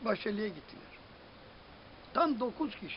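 A man speaks at a moderate pace with lively intonation and an extremely high pitch. Light background noise can be heard. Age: 70s. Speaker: amateur football club founder and coach; coach. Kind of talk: interview answer. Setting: outdoors. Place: garden. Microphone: phone near.

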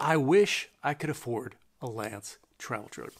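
A man speaks with an American accent against a quiet background. His pitch swings very widely. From California, Bay Area. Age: old. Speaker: RV travel YouTuber. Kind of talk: casual vlog monologue. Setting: at home. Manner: hesitant with frequent fillers. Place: home room.

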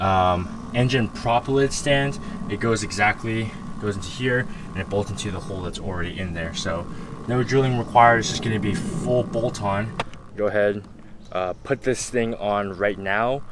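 Amid faint background noise, a man speaks at a moderate pace in a fairly low pitch with ordinary pitch variation.

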